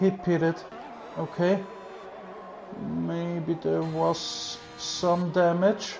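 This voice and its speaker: Spoken with a German accent at a very slow pace, with long, frequent pauses, the voice has music in the background. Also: man. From Austria. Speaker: sim racing commentator. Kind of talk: live commentary.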